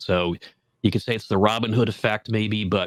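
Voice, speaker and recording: A man talks at a fairly quick pace with fairly even intonation. The sound is dry and close, with no echo. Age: 60s. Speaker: horticulture expert and garden consultant. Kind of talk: podcast interview.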